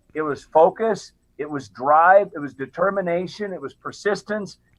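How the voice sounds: A man speaks at a moderate pace and a high pitch, with ordinary pitch variation.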